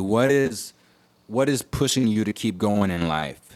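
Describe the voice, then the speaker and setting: This man speaks with an American accent, a fairly low pitch and ordinary pitch variation at a moderate pace, in a very clean recording with a silent background. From Houston, Texas (Third Ward). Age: 30s. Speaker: rapper. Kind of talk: interview.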